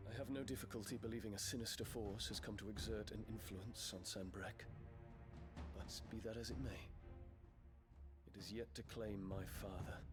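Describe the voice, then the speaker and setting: A man puts on a character voice at a moderate pace. His pitch sits fairly low, and loud noise fills the background. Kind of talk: formal courtly speech. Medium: machinima.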